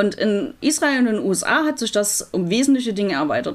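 A woman with lively intonation. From Germany, Leipzig (Saxony). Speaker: rabbi. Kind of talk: interview. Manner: hesitant, many fillers.

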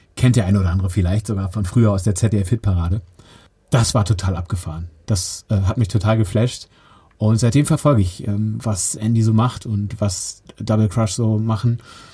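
A man's fairly low, somewhat breathy voice with a dark, mellow tone, fairly even intonation, and a moderate pace. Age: 40s. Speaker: podcast host. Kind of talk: casual interview.

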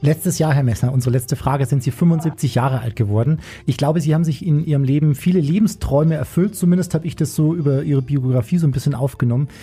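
A man talks at a very fast pace with hardly any pauses and very even loudness. His fairly high, somewhat breathy voice has a dark, mellow tone and ordinary pitch variation. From Bavaria, Chiemgau. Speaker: radio host. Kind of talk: casual chat.

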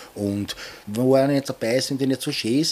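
A man talks in a normal speaking voice at a medium pitch. His pace is moderate. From Vienna, 22nd district (Donaustadt). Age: 50s. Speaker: tattoo artist. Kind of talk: interview.

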